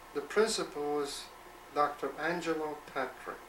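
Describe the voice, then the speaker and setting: Audible room echo and noticeable background noise accompany a man speaking at a fairly high pitch. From born in Poland/Russia, raised in the Bronx from age 13. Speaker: grandfather telling life story. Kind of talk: oral history interview. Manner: hesitant with repairs.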